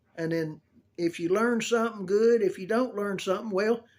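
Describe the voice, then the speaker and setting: This man has a Southern US accent and a high pitch. He talks at a moderate pace with ordinary pitch variation. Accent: US South. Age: 70s. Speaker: video blogger showing a grooming tip. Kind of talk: casual tutorial. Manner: folksy, rambling storytelling.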